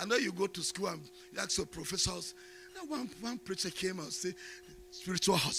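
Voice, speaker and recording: Against noticeable background noise, a man with a high pitch talks at a fairly quick pace in a raised, projected voice. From Nigeria. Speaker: bishop preacher. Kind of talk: sermon. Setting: church.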